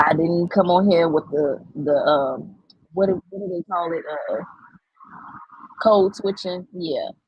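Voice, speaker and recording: A woman with a fairly low pitch, ordinary pitch variation, a fairly slow pace, long, frequent pauses and big swings in loudness. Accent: Southern US. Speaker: AI art content creator. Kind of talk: live stream tutorial. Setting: live stream. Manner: animated.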